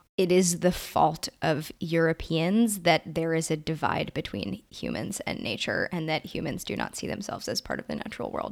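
A woman with an American accent speaks at a moderate pace with hardly any pauses, her fairly low voice marked by vocal fry. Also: lively intonation. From Brooklyn, New York. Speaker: podcast co-host. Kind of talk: casual discussion podcast.

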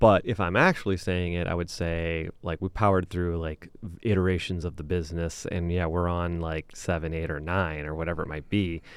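A man with a Midwestern American accent talks at a very deep, low pitch in a monotone, flat way. He speaks at a fairly quick pace with hardly any pauses, on a very clean recording with a silent background. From Michigan, Lansing area (Okemos). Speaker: business owner. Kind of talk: interview. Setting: studio.

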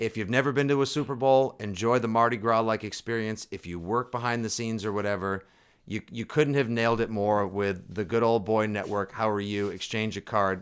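A man with an American accent speaks in an ordinary speaking voice at a fairly low pitch and a fairly quick pace, with fairly even intonation, hardly any pauses, and a very clean recording over a silent background. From Boston. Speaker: sports podcast co-host. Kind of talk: casual chat.

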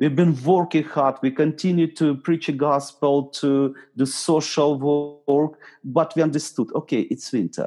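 A man speaks at a fairly slow pace in a dark, mellow tone, his pitch fairly high and his loudness very even. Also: fairly even intonation. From eastern Ukraine. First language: Ukrainian or Russian. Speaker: pastor. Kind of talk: talk. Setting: video call. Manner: halting.

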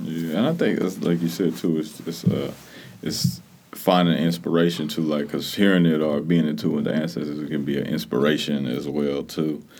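A man speaks at a moderate pace in a very deep, low voice with fairly even intonation and vocal fry. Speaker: podcast host. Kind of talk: casual chat. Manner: laid-back, filler-heavy.

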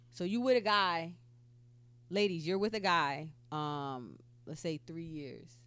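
A woman talks at a slow pace with a fairly low pitch and a fairly bright tone. The recording is very clean, the background silent. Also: ordinary pitch variation.

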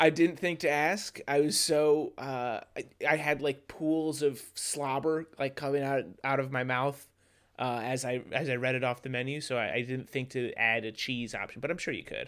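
A man talks in an ordinary speaking voice, fairly high in pitch, at a moderate pace with fairly even intonation. The recording is very clean with a silent background. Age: 30s. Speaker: podcast co-host. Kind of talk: casual chat.

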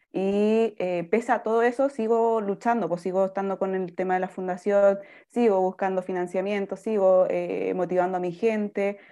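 With a dark, mellow tone and medium pitch, a woman speaks at a moderate pace with hardly any pauses and fairly even intonation. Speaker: foundation founder. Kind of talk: interview.

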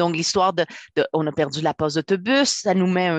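This woman has a normal speaking voice with fairly low pitch. She talks at a moderate pace. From Quebec, immigrated as a child. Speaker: author. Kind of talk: interview.

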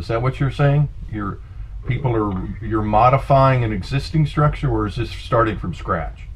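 Noticeable background noise runs behind a man's voice. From San Francisco. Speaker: podcast host. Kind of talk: interview. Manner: halting.

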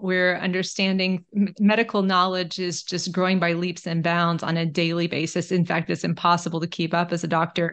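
A woman with an American accent and a plain, everyday voice, medium in pitch, at a moderate pace. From Texas, Austin. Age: 50s. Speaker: family physician and author. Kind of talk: interview.

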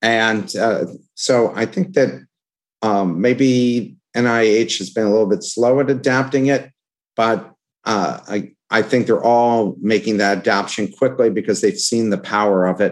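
A man speaks in a plain, everyday voice at a medium pitch and moderate pace, with ordinary pitch variation. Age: 60s. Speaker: podcast host. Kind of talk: interview.

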